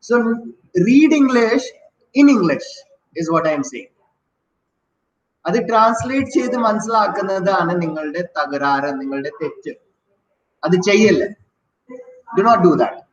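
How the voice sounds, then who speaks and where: In an Indian accent, a man talks at a high pitch and a fairly slow pace, with very wide pitch swings and long, frequent pauses. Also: big swings in loudness. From Delhi, North India. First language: Hindi. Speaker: English teacher. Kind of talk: lecture.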